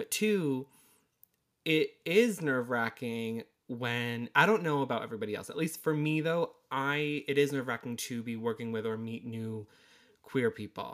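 A man with an American accent speaks in a plain, everyday voice at a medium pitch and moderate pace, with ordinary pitch variation, in a very clean recording with a silent background. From Connecticut, US. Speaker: podcast co-host, makeup artist. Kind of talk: casual chat.

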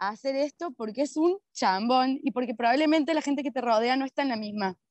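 A woman speaks at a fairly quick pace in a high pitch with ordinary pitch variation. The sound is dry and close, with no echo. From Argentina, Córdoba. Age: 30s. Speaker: permaculture practitioner. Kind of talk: casual interview chat. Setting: remote call.

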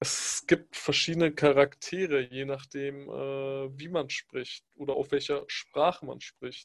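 A man with a fairly high pitch speaks at a very slow pace in a monotone, flat intonation, with big swings in loudness. The sound is dry and close with no echo. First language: Pashto (speaking German). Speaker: podcast co-host. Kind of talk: casual chat.

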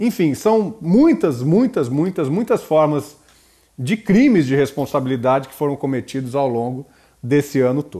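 His voice is fairly high, with a dark, mellow tone. The man speaks at a fairly slow pace with lively intonation. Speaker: professor hosting a political podcast. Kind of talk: solo political commentary.

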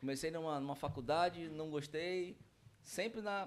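At a moderate pace, a man talks in a normal speaking voice, fairly high pitched, with ordinary pitch variation. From Brazil, Manaus (Amazonas). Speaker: franchise owner. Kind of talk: casual chat.

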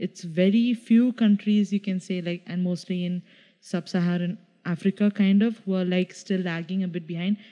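A woman with a Keralan accent speaks at medium pitch and a moderate pace. Her tone is dark and mellow, with fairly even intonation. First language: Malayalam. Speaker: podcast co-host. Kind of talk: casual chat.

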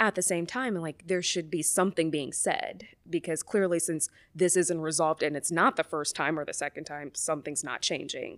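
A woman with an American accent has an unremarkable speaking voice, a fairly low pitch and ordinary pitch variation at a moderate pace. The recording is very clean with a silent background, dry and close with no echo. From US South, Mobile, Alabama. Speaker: psychologist. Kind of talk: casual chat.

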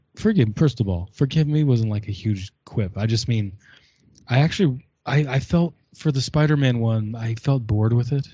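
Somewhat breathy, a man talks at a moderate pace with a medium pitch and ordinary pitch variation. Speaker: guest reviewer.

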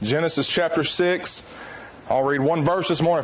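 Against noticeable background noise, a man speaks in a Southern US accent at a fairly quick pace, with fairly high pitch and fairly even intonation. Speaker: preacher. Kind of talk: sermon.

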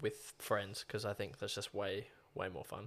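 Recorded very cleanly against a silent background, a man speaks. He has an Australian accent and a moderate pace. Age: 20s. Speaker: podcast co-host. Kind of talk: casual chat.

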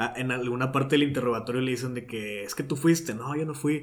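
Speaking at a moderate pace, a man uses a plain, everyday voice with ordinary pitch variation. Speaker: podcast host. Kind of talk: casual chat. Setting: home recording studio.

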